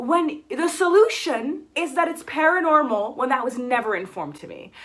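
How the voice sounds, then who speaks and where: With an American accent, a woman speaks at a moderate pace in a high-pitched, raised and projected voice with a bright, sharp, animated tone. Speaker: book YouTuber. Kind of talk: casual vlog chat.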